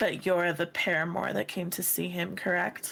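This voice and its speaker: A raspy put-on character voice at a middle pitch talks at a moderate pace. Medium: actual play. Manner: measured, insistent.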